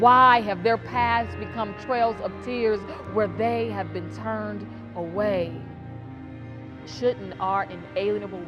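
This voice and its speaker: Music plays behind the speaker. The delivery is very slow. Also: woman. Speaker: spoken word poet. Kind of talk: spoken word poetry performance. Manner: impassioned, rousing.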